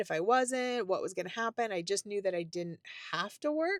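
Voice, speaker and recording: In a very clean recording with a silent background and a dry, close sound with no echo, a woman speaks in an animated tone with very wide pitch swings. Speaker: retirement lifestyle youtuber. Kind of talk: casual vlog talk to camera.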